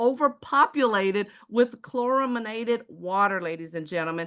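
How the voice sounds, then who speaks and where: A woman with an American accent and a fairly high pitch speaks at a moderate pace in an animated tone with lively intonation over a quiet background. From Texas, Houston. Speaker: sales presenter. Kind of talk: sales pitch.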